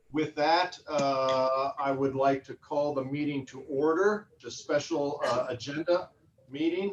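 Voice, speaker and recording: A man talks at a fairly slow pace with a fairly high pitch and ordinary pitch variation. His loudness swings widely, and there is noticeable background noise. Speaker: park board president. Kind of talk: formal meeting chairing. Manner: hesitant, many fillers. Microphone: sounds quieter due to distance.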